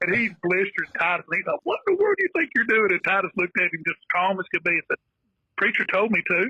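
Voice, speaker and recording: A man talks at a very fast pace with an American accent. His loudness stays very even, and the sound is dry and close with no echo. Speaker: football coach. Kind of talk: casual chat.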